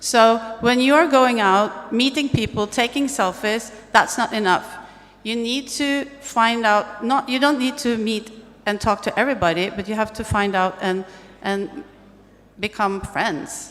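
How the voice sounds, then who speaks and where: A woman with a Norwegian accent speaks at a fairly slow pace and fairly high pitch, with ordinary pitch variation and noticeable background noise. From Norway. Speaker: tech event speaker. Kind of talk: on-stage conversation.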